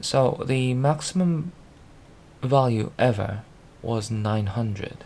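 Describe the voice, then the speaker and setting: A man speaks at a very slow pace, with long, frequent pauses. His medium pitch shows ordinary pitch variation. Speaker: programmer video blogger. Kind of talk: screen-recorded tutorial walkthrough. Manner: halting, stuttering and mumbling.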